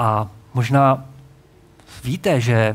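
The man's voice is somewhat breathy. It sits at a medium pitch. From Czechia, Hradec Králové region. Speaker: pastor. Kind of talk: sermon.

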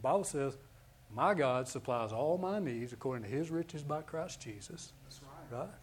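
Lively intonation, big swings in loudness, and a somewhat breathy, fairly high-pitched voice from a man at a moderate pace. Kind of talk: fervent altar-call prayer, preaching a blessing over a congregation.

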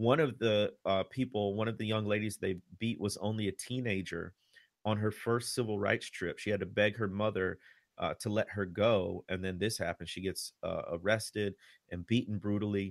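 A man with an American accent and an unremarkable speaking voice talks at a moderate pace with fairly low pitch and fairly even intonation, recorded very cleanly against a silent background with a dry, close sound and no echo. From Chicago area. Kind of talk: interview on history and faith.

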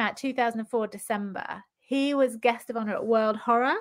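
A woman with a British accent speaks at a moderate pace, her pitch fairly high. Her tone is bright and sharp, and the recording is very clean with a silent background. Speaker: novelist. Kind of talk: casual interview chat. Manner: chatty, laughs often.

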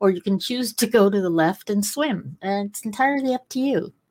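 A woman with a normal speaking voice, a medium pitch, lively intonation, and a moderate pace. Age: 60s. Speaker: podcast host. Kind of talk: interview conversation.

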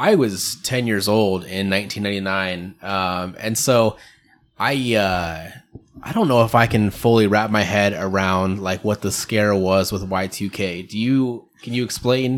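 A man speaks at a fairly slow pace with a fairly low pitch. It is an unremarkable speaking voice. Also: fairly even intonation. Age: 30s. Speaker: podcast host. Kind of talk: casual chat.

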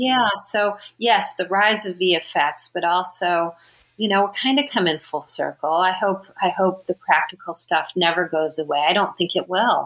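A woman with an American accent speaks in an ordinary speaking voice at a medium pitch, with ordinary pitch variation. Her pace is fairly slow, with hardly any pauses. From Southern California, Riverside area. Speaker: makeup and hair designer. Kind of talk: interview.

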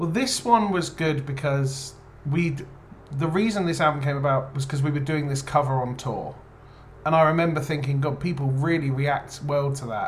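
Speaking in an English accent, a man with a fairly high pitch keeps a moderate pace and ordinary pitch variation. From England. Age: 30s. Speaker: rock band lead singer. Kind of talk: interview.

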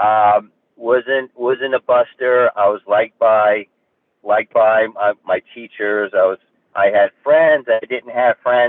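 Speaking very slowly with a New Jersey accent, a man keeps a medium pitch and fairly even intonation. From New Jersey, Hudson County. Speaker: actor. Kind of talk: interview.

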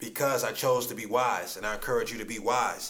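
With noticeable background noise and audible room echo, a man speaks in a medium pitch with an American accent. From Ohio. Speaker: podcast host, motivational speaker. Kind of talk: casual interview. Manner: energetic.

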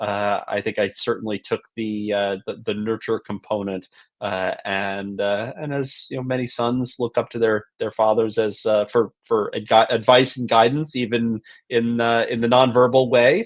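This man has an unremarkable speaking voice at a medium pitch. He keeps a moderate pace with fairly even intonation. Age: 40s. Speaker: entrepreneur. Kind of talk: casual interview.

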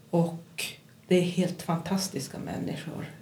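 A somewhat breathy woman's voice at a fairly slow pace, with audible room echo. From Kiruna, Norrbotten, northern Sweden. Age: 50s. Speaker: psychiatric nurse. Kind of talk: interview.

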